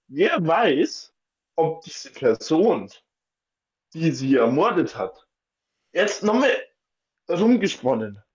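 A man with a high pitch speaks very slowly, leaving long, frequent pauses, his pitch swinging very widely and his loudness rising and falling a lot. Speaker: podcast co-host. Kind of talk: casual chat. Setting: home attic room.

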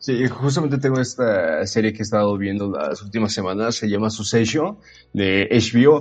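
Music plays in the background. A man speaks at a medium pitch with ordinary pitch variation. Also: moderate pace. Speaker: podcast co-host. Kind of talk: casual chat.

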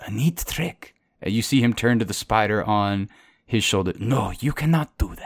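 Quiet surrounds an unforced reading voice.

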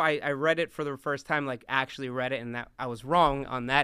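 Bright and sharp in tone, a man speaks at a fairly quick pace, his voice dry and close with no echo in a very clean recording with a silent background. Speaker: pastor. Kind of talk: sermon. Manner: animated.

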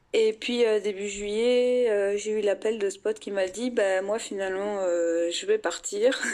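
A woman at medium pitch with fairly even intonation, a fairly slow pace and hardly any pauses, against noticeable background noise. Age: 20s. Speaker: psychology student. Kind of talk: interview testimony.

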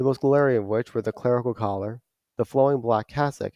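The background stays quiet. A natural reading voice carries the words.

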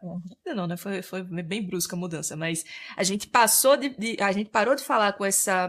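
A woman with a Sergipe accent. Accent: northeastern Brazilian (Sergipe). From Sergipe, northeastern Brazil. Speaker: interior decorator and content creator. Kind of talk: interview, explanatory.

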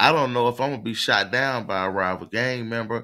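Using a bright, sharp tone, a man speaks at medium pitch and a moderate pace. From US South. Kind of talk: casual live call-in chat.

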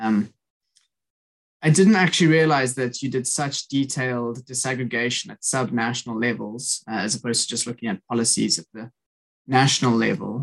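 Big swings in loudness mark a man's medium-pitched voice, in a South African accent with ordinary pitch variation. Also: moderate pace. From South Africa, Cape Town. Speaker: podcast host, student. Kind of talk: interview.

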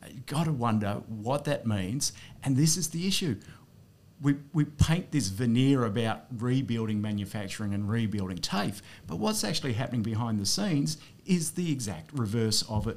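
In an Australian accent, a man with a medium pitch and lively intonation speaks at a moderate pace. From regional New South Wales, Australia. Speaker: politician, former veterinarian. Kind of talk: casual interview chat.

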